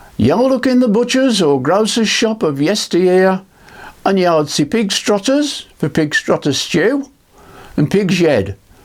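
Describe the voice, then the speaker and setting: There is noticeable background noise. Over it, a man speaks with very wide pitch swings. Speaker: barbecue cooking youtuber. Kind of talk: cookery demonstration and history talk.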